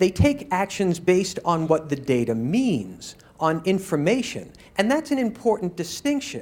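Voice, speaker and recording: Very wide pitch swings from a man at a high pitch with an American accent, moderate pace and very even loudness. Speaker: user experience professional. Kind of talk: conference talk.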